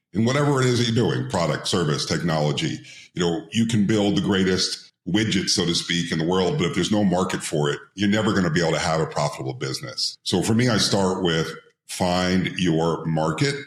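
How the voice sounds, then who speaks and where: Over audible room echo, a man with a very deep, low voice talks fairly quickly, his intonation lively and his loudness very even. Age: 60s. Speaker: entrepreneur and IPO advisor. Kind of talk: interview podcast.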